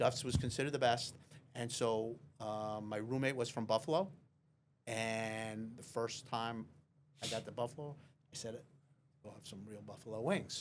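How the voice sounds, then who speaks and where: With a Long Island accent, a man at a medium pitch speaks at a moderate pace with fairly even intonation, big swings in loudness, and long, frequent pauses. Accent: Long Island accent, lasting. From Long Island, New York. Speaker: real estate lawyer. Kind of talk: casual chat.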